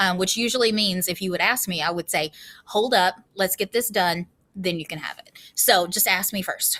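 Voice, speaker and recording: A woman speaks loudly at a moderate pace, her medium pitch showing ordinary variation. Her tone is bright and sharp, and the recording is very clean with a silent background. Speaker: school teacher. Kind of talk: classroom rules presentation to students. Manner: casual, many filler ums.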